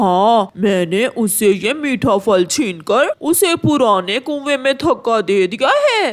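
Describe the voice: This cartoonish character voice has a fairly high pitch and moves at a very slow pace.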